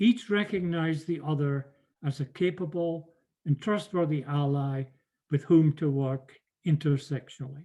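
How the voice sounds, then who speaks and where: In a British accent, the speaker has a dark, mellow tone that is somewhat breathy, with ordinary pitch variation and a moderate pace. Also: man, fairly high pitch for a man. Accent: regional British accent, retained. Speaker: professor. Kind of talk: lecture. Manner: formal.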